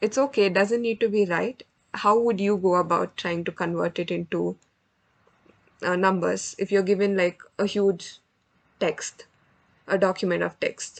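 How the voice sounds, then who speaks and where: At a moderate pace, a woman speaks with a medium pitch, fairly even intonation, and long, frequent pauses. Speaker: student club tutor teaching NLP. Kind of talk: online lecture / workshop session. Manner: rambling, hesitant with fillers.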